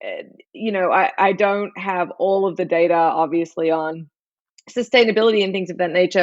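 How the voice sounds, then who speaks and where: In an Australian accent, a woman speaks at a fairly low pitch with ordinary pitch variation. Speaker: chef and barbecue expert. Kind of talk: interview.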